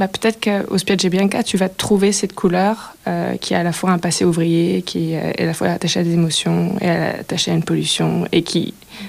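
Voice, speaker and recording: Her pitch is fairly low for a woman. She keeps to a moderate pace. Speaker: filmmaker and sound artist. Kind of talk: radio interview. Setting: radio studio. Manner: hesitant, many fillers.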